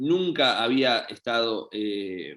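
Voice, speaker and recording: A man with a medium pitch. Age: 30s. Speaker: professional volleyball player. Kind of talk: interview. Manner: hesitant, many fillers.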